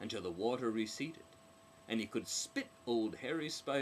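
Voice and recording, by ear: A natural voice reading text aloud.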